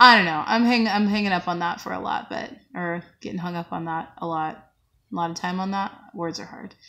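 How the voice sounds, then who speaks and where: Against a quiet background, a woman talks at a fairly quick pace in a fairly low pitch, with a bright, sharp tone and ordinary pitch variation. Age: 20s. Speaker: vlogger. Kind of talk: personal vlog testimony. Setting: at work on a break. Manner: halting. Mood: reflective, subdued, candid. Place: home room. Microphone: phone near.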